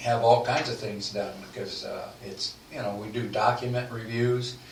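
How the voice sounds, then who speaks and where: A man talks at a fairly slow pace as noticeable noise runs in the background. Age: 80s+. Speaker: legal services sales representative. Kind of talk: radio podcast interview answer.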